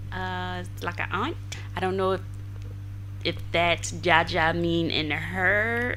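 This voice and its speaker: Speaking with a Southern US accent, a woman talks. Her pace is very slow. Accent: Southern American. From South Carolina, US. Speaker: non-profit founder, volunteer. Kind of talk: interview answer.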